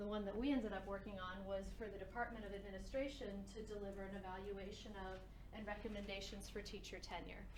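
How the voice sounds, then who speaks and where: With an American accent, a woman rattles along at a very fast pace in a flat monotone, amid audible room echo and noticeable background noise. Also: medium pitch for a woman. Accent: sounds New Jersey when projecting. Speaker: education policy researcher. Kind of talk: lecture. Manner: conversational, with fillers. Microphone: a little quiet on stream.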